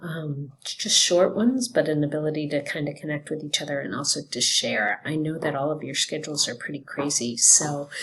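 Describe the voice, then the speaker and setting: A soft-spoken woman talks with a very deep, low pitch at a moderate pace. There is noticeable background noise. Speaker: teacher. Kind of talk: recorded class announcement. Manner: soft-spoken, keeping voice down.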